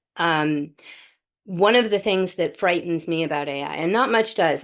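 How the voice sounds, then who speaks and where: In a normal speaking voice, a woman with an American accent talks at a moderate pace and a fairly low pitch, with ordinary pitch variation against a quiet background. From US, London until age six. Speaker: podcast host. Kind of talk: podcast interview.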